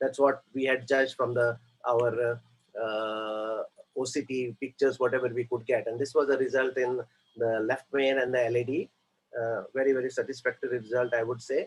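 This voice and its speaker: At a medium pitch, a man speaks with monotone, flat intonation. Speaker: interventional cardiologist. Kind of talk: case presentation. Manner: hesitant, many fillers; fast.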